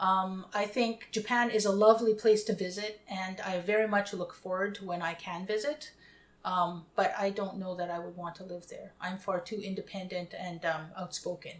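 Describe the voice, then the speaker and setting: With a Canadian accent, a woman has an unremarkable speaking voice at medium pitch, with fairly even intonation, a moderate pace and big swings in loudness. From Winnipeg, Canada. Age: 50s. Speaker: interviewee. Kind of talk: interview.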